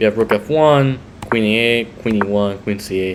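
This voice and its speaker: At a moderate pace, a man talks with ordinary pitch variation against noticeable background noise. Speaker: chess commentator. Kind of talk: chess game commentary. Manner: hesitant, some stuttering.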